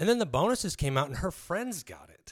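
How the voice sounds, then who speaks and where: A man with an American accent and a plain, everyday voice, lively intonation and a fairly quick pace. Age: 30s. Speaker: mixed martial arts fighter and trainer. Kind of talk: casual chat.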